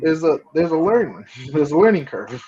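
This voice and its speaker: A man's voice, high-pitched for a man, with an American accent, a fairly quick pace and ordinary pitch variation. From South Florida, Broward County. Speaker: guest. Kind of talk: casual chat.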